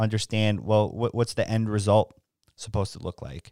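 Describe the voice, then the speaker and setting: A man talks at a fairly quick pace in an unremarkable speaking voice of medium pitch. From New York, the Bronx. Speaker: podcast host and filmmaker. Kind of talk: interview.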